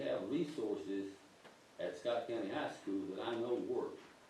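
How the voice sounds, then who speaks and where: Fairly slow speech from a man, amid audible room echo and noticeable background noise. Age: 70s. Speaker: community member, great-grandparent. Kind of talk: public comment at board meeting.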